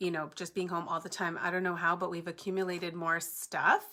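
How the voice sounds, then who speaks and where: A loud voice with a bright, sharp tone comes through in a very clean recording with a silent background. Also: woman. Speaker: papercrafting tutorial host. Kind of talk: live-stream crafting tutorial chat. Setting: home basement, live stream. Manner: chatty, casual.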